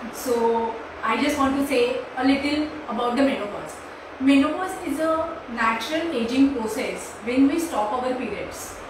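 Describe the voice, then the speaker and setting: A woman talks at a moderate pace in a high voice with ordinary pitch variation. Strong room echo and noticeable background noise are present. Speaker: naturopathy doctor. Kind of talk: short talk. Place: home room. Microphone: camera far.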